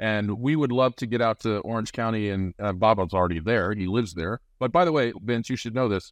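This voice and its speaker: A man with an American accent talks at a fairly quick pace and a medium pitch, with hardly any pauses and ordinary pitch variation. He has an ordinary speaking voice, and the background is quiet. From Nebraska. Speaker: podcast host. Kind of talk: casual chat.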